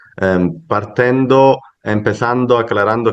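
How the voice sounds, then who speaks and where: A man talks at a medium pitch. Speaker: academic conference speaker. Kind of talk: academic paper presentation. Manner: halting, with fillers and self-corrections.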